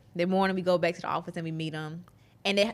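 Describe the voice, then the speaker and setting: With a Southern US accent, a woman speaks at a fairly low pitch. Her intonation is fairly even. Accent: Southern US drawl. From Mississippi, US South. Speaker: app developer entrepreneur. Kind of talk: casual interview chat.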